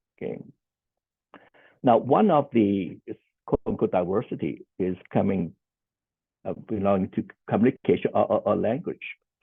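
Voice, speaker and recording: The speaker has a Cantonese accent and keeps a moderate pace. Long, frequent pauses break up the speech. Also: man. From Hong Kong. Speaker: social worker. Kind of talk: conference panel presentation. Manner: halting, many fillers and repeats.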